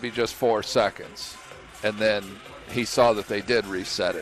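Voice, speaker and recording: Background music accompanies the recording. The man speaking keeps a moderate pace. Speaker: coach, color commentator. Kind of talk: basketball color commentary.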